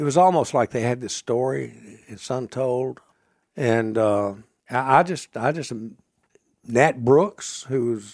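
Lively intonation from a man at medium pitch, at a fairly slow pace. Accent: Mississippi. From US South, Mississippi (Marshall County). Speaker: author, historian. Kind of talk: interview storytelling.

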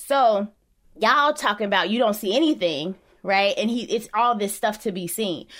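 A normal speaking voice from a woman with an American accent, fairly high-pitched, lively in intonation and moderately paced, on a very clean recording with a silent background. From Chicago. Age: 30s. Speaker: journalist and professor, parent. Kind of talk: interview conversation.

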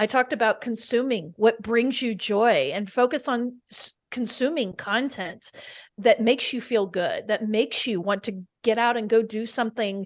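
A woman with a fairly high pitch and an unremarkable speaking voice, moderate pace, ordinary pitch variation and a quiet background. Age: 40s. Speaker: nonprofit community co-founder and podcast host. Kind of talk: casual interview.

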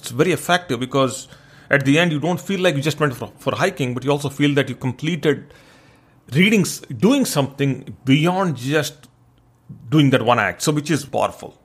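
With an Indian accent, a man speaks in a somewhat breathy voice at a fairly high pitch. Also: ordinary pitch variation, moderate pace. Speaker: podcast host. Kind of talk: solo monologue podcast episode.

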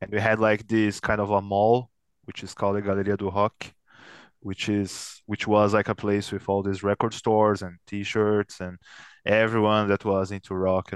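A man's fairly low voice with a Portuguese accent, at a moderate pace, in flat, monotone intonation, with dry, close sound, no echo and a quiet background. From São Paulo, Brazil. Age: 30s. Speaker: metal band guitarist. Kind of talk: casual interview chat. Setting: video call.

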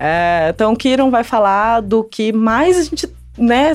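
Music is playing behind the voice. The speaker is a woman. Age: 30s. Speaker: astrologer co-host. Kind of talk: casual podcast chat.

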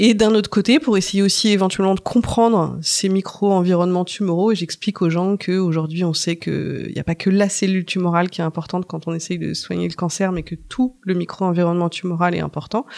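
In a plain, everyday voice of medium pitch, a woman talks at a fairly quick pace with fairly even intonation and hardly any pauses. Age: 40s. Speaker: research scientist. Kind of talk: interview. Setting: lab tour.

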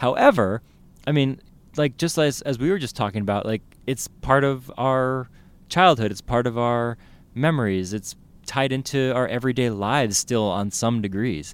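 On a very clean recording with a silent background, a man with a Californian accent speaks at a moderate pace and medium pitch with ordinary pitch variation. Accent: Californian American English. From San Francisco Bay Area, California (South San Francisco). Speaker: newspaper food editor. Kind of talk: casual chat.

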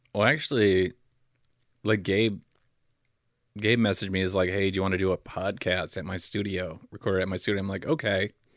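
Over a silent background in a very clean recording, a man speaks at a fairly quick pace in a fairly low pitch, with fairly even intonation and long, frequent pauses. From Fargo area, US Upper Midwest. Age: 30s. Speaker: stand-up comedian. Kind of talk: casual chat.

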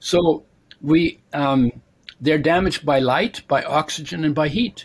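Here a man speaks with a fairly high pitch and ordinary pitch variation. His voice is somewhat breathy. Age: 70s. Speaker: nutrition author and oil maker. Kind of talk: casual interview chat.

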